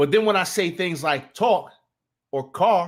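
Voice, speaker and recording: A man speaks with an American accent in an animated tone, his intonation lively. The recording is very clean, with a silent background. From New Jersey. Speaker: sports talk streamer. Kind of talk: casual live stream chat. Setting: live stream. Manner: animated, repetitive false starts.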